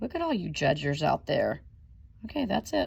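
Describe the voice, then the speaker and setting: A woman is speaking. Her pace is moderate. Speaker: elementary school teacher. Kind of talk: recorded lesson for pupils. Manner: animated.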